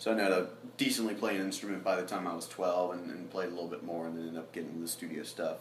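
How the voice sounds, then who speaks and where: Amid noticeable background noise, a man speaks with audible room echo. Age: 20s. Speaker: songwriter and producer. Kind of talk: casual chat.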